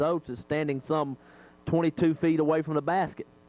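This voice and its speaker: In an American accent, a man with a plain, everyday voice talks at a fairly quick pace and a fairly high pitch, the sound dry and close with no echo. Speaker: local radio sports play-by-play announcer. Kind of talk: live radio basketball play-by-play commentary. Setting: FM radio broadcast of a high school gym game. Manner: fast, excited, rhythmic play-by-play delivery.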